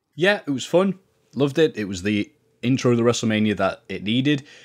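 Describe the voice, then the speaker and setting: Speaking at a fairly quick pace with lively intonation, a man with an English accent has a medium pitch, captured in a very clean recording with a silent background. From England. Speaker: wrestling podcaster. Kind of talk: casual chat. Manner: animated.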